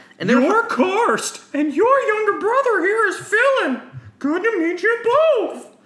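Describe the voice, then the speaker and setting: Put-on character voice at an extremely high pitch and a fairly slow pace. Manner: menacing.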